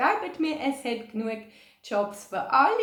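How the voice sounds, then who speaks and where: Here a woman speaks with a Swiss accent. Her tone is upbeat and her intonation lively. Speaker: childcare organisation team member. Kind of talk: video message to volunteers.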